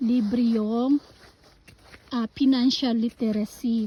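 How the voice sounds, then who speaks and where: Over noticeable background noise, a woman talks very slowly in a fairly high pitch with fairly even intonation. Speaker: vlogger. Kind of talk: casual vlog.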